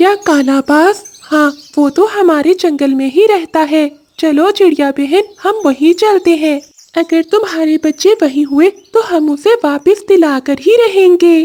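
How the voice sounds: A woman does a cartoonish character voice at an extremely high pitch and a fairly slow pace.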